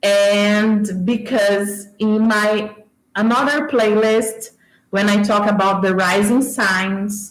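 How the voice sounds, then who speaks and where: Audible room echo surrounds a woman with a Brazilian accent who speaks very slowly at a medium pitch. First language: Portuguese. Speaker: YouTuber discussing movies. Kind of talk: livestream casual talk. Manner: animated.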